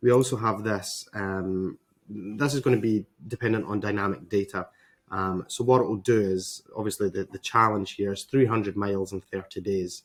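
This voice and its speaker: Fairly low in pitch, a man speaks with a Scottish accent. His pace is moderate and his intonation fairly even. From Scotland. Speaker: web designer, agency owner. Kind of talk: tutorial. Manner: hesitant, many fillers.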